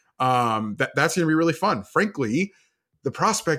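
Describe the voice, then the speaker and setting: On a very clean recording with a silent background, a man with an unremarkable speaking voice talks fairly quickly in a fairly high pitch with lively intonation. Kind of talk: casual chat.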